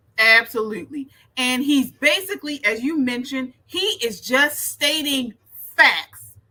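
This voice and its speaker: A woman speaks in a raised, projected voice at a fairly slow pace. Her high pitch carries a bright, sharp tone. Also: ordinary pitch variation. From Baltimore. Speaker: political commentator. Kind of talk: reaction commentary.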